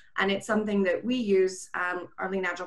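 Speaking at a moderate pace, the woman has an American accent. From California. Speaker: software company director. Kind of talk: panel presentation. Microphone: video call.

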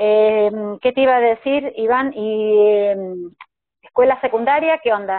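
Against a quiet background, a woman speaks at a fairly slow pace with long, frequent pauses. Her voice is fairly high in pitch and very even in loudness. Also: ordinary pitch variation, dry sound with no echo. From Argentina, Córdoba. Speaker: live stream interviewer. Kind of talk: interview. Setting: video call. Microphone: video call.

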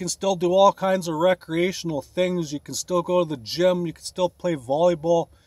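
A man's high-pitched voice with a western Canadian accent, moderate pace, hardly any pauses, fairly even intonation and big swings in loudness, dry with no echo over a quiet background. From Canada, Alberta. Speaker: bodybuilding vlogger; van life fitness vlogger. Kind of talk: casual vlog; casual vlog chat. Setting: in a van. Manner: casual, filler-heavy. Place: car. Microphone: phone near.

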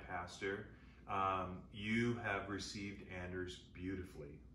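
Light background noise and audible room echo frame a man's very deep, low voice. His tone is bright and sharp, with fairly even intonation. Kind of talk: conversational address, thanks. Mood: warm, grateful. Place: home room. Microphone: camera far.

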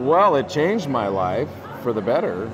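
Noticeable background noise is present in this clip. Over it, a man speaks fairly slowly. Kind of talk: interview answer. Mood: warm, nostalgic, enthusiastic. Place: hall.

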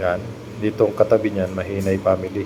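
Over noticeable background noise, a man delivers his words at a moderate pace, fairly low in pitch and with monotone, flat intonation. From Philippines, Masbate. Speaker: vlogger. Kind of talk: screen-share video tour narration. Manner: casual, hesitant with fillers.

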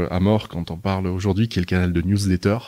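A man speaking at a fairly quick pace. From southern France, Nice. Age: 30s. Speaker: media group executive. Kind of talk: interview. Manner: hesitant, many fillers.

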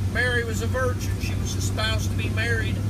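Loud background noise runs under the recording. Over it, a man talks at a moderate pace. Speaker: preacher. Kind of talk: sermon-style Bible teaching to camera. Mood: earnest, fervent praise. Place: car. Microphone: phone near.

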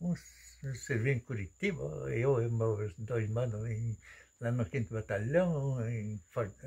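A man's somewhat breathy voice, medium in pitch and dark, mellow in tone, with lively intonation, a very slow pace and long, frequent pauses. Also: quiet background. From western Santa Catarina, Brazil. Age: 80s+. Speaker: retired farmer and stone-wall builder. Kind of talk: casual chat. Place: home room. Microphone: phone near.

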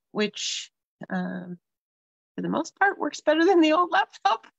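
Speech comes at a fairly slow pace. The sound is dry with no echo, and the background is quiet. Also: woman. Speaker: craft host. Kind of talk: casual livestream chat. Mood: amused, a bit flustered. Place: home room. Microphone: webcam.

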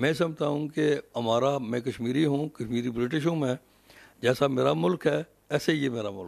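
A man speaks in a fairly high voice. His loudness swings widely. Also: ordinary pitch variation. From Azad Kashmir, raised in England from about age 10. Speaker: lord mayor, local politician. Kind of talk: interview. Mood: earnest, proud of community. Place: home room. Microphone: handheld.

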